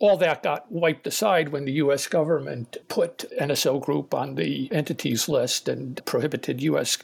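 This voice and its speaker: This is a man with an American accent. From US East Coast. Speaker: law lecturer and policy advisor. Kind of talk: casual panel discussion.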